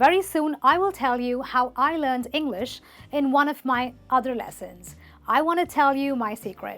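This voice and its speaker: Speaking with a non-native accent, a woman has a high pitch and ordinary pitch variation. The recording is very clean, with a silent background. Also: moderate pace. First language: not English. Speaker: English teacher. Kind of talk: tutorial.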